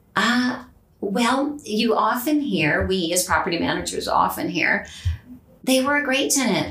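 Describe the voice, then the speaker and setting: With a Californian accent, a woman talks at a fairly slow pace in a fairly high pitch with lively intonation, amid audible room echo and noticeable background noise. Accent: Californian American. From Southern California. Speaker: property manager. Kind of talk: interview. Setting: studio.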